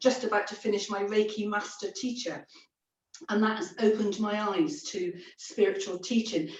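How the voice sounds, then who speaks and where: With ordinary pitch variation, a woman speaks in an unremarkable speaking voice at a fairly high pitch. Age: 60s. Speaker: psychic medium. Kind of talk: interview.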